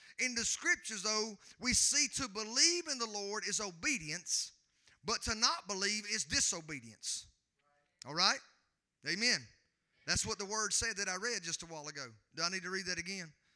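A man talks at a high pitch and moderate pace with lively intonation. His tone is bright and sharp in a dry, close sound with no echo.

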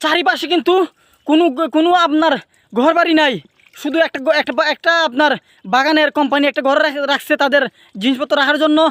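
Speaking in an extremely high voice for a man, he keeps his intonation fairly even and his loudness very even, with a dry, close sound and no echo. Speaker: video vlogger. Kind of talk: casual vlog narration. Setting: outdoors. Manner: halting.

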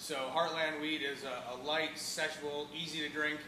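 A man talks at a moderate pace with a fairly high pitch and fairly even intonation, and audible room echo surrounds him.

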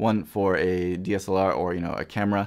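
Against a quiet background, a man is talking. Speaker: product reviewer. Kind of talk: product review talk. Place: studio.

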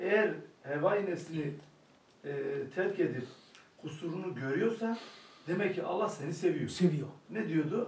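Long, frequent pauses break up this man's fairly slow delivery. His pitch is high, with ordinary variation. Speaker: study circle participant. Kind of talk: group discussion.

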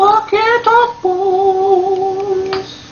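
This put-on character voice is squeaky and extremely high. Its intonation stays flat and monotone. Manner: creepy, unsettling.

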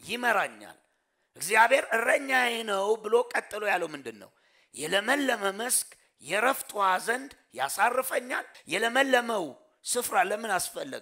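Raised and projected, a man's extremely high, bright, sharp voice shows ordinary pitch variation and big swings in loudness against a quiet background. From Ethiopia. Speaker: pastor. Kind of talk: sermon. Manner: call-and-response questioning. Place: church. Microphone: headset.

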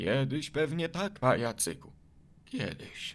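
Using a put-on character voice at medium pitch, a man speaks fairly slowly. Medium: fan dub.

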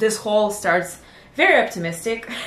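A woman speaks with ordinary pitch variation. Audible room echo surrounds her voice. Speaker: sewing vlogger. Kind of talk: casual vlog chat. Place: home room.

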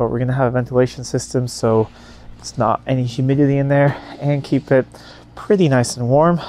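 Against light background noise, a man speaks at a fairly quick pace in a dry sound with no echo. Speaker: car enthusiast vlogger. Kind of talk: casual vlog chat. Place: open country. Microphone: lapel.

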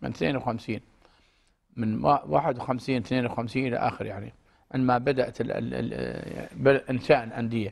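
This man's medium-pitched voice has vocal fry and fairly even intonation. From Kuwait. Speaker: retired diplomat and educator. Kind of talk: interview. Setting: studio. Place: studio. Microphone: lapel.

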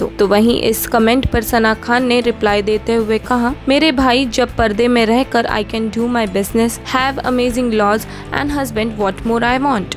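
With music in the background, a woman talks at a fairly high pitch with fairly even intonation, very even loudness, and hardly any pauses. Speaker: voice-over artist. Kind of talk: entertainment news voice-over.

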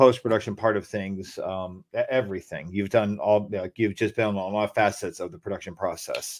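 This is a man with an American accent and a plain, everyday voice, fairly low in pitch and speaking at a moderate pace. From New Jersey. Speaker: podcast host. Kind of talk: casual chat.

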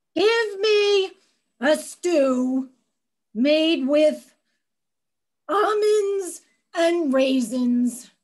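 Pitched extremely high, a woman performs a put-on character voice whose pitch swings very widely. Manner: whiny, demanding.

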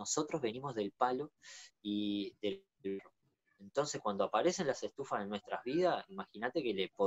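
With a Uruguayan accent and lively intonation, a man speaks at a moderate pace. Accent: Uruguayan Rioplatense Spanish. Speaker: natural builder; interviewee. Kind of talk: interview. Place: home room. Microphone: video call.

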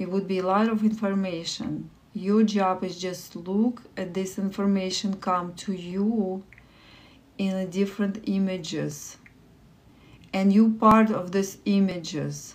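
Soft-spoken and warm, a woman with a Russian accent talks with monotone, flat intonation. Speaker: livestream meditation host. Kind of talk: guided meditation. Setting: live stream with online viewers. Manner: soft, slow, calming guidance; warm, encouraging. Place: home room. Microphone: phone near.

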